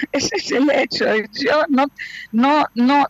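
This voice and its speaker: A woman speaks in a Portuguese accent, recorded with a dry, close sound and no echo. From Brazil, Rio de Janeiro. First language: Portuguese (speaking Spanish). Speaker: actress, director and casting coach. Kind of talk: remote radio interview. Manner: halting.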